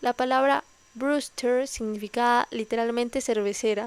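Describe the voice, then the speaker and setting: A woman's voice sits at a high pitch, and her intonation stays fairly even. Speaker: ASMR reader. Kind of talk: nonfiction history reading.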